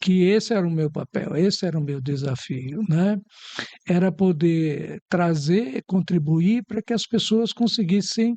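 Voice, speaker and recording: A man's high-pitched, dark, mellow voice with lively intonation at a fairly slow pace, in a dry, close sound with no echo. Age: 70s. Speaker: psychologist. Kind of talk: talk show interview.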